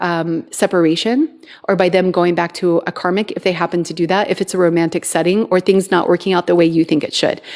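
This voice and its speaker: A woman with a normal speaking voice, medium pitch and fairly even intonation. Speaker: twin flame coach. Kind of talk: live stream talk. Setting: TikTok live stream.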